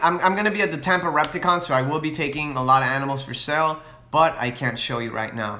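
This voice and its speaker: Noticeable background noise surrounds a man's voice. He has a fairly high pitch and lively intonation. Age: 20s. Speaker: reptile breeder and YouTuber. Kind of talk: live Q&A with viewers. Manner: casual, hesitant with fillers and restarts.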